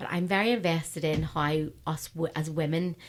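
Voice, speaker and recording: A fairly low-pitched woman with a Northern Irish accent, on a very clean recording with a silent background. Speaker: radio host. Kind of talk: casual chat. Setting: studio.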